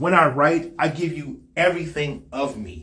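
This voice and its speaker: Vocal fry comes through over audible room echo. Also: man. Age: 50s. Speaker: podcast host. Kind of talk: personal monologue.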